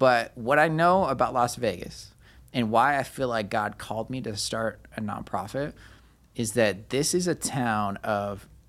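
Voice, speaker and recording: A man with a medium-pitched voice and ordinary pitch variation speaks at a fairly slow pace. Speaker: pastor and nonprofit founder. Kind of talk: casual interview, personal testimony.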